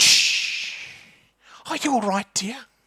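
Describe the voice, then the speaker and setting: Someone puts on a character voice pitched fairly high. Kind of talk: polite, kindly. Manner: disgruntled, gentle, soothing.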